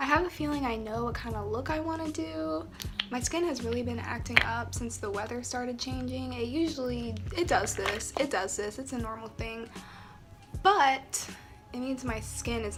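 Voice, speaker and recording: Music plays in the background as a relaxed voice moves at a moderate pace amid audible room echo. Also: woman. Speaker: beauty vlogger. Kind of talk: casual makeup tutorial chat. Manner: relaxed, conversational.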